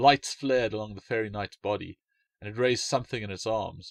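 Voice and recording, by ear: A man speaks at a moderate pace in a fairly low pitch with vocal fry and ordinary pitch variation. The sound is dry and close, with no echo.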